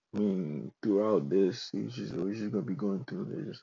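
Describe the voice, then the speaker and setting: Very deep and low in pitch, a man speaks at a fairly slow pace with vocal fry. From Ghana, moved to US at 14. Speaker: podcaster. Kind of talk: casual monologue, podcast intro. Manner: halting, many fillers; laughing.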